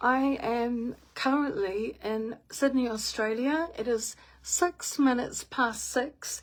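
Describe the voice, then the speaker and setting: Speaking at a very slow pace with hardly any pauses, a woman with a New Zealand accent has a high pitch and ordinary pitch variation. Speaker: spiritual medium. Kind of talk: guided meditation; casual live stream chat. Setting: live stream.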